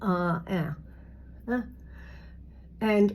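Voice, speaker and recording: A somewhat breathy woman at a fairly low pitch and a very slow pace. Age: 60s. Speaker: beauty vlogger. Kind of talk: makeup tutorial. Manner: casual, halting with fillers.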